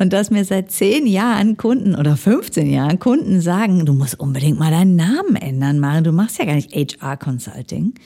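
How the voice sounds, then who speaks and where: A woman's fairly low, dark, mellow voice with very wide pitch swings and hardly any pauses. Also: moderate pace. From Ruhr area, Germany. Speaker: management consultant. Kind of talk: interview. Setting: studio.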